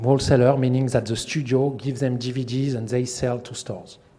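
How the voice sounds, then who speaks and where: Speaking with a French accent at a fairly quick pace, a man keeps a medium pitch. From France. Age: 40s. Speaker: film distributor. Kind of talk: masterclass talk. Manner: animated.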